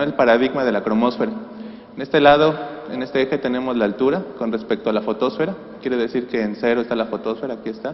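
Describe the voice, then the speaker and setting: A man's medium-pitched voice at a very fast pace, with lively intonation, amid noticeable background noise. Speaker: astrophysics researcher. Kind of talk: conference talk. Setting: conference hall with PA system.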